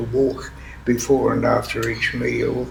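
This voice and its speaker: A man talks at a moderate pace with an Australian accent. Noticeable background noise sits behind him. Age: 80s+. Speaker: retired minister. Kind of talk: interview answer. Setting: indoor room with air conditioning noise.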